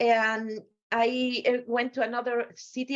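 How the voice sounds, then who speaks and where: This woman has a Spanish accent. Her voice sits high in pitch. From Spain. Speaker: pharmaceutical scientist, guest lecturer. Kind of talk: lecture. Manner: halting.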